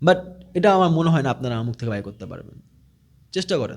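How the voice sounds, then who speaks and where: The speaker is a man. His pitch moves across a very wide range. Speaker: digital marketing trainer. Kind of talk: casual talk to camera.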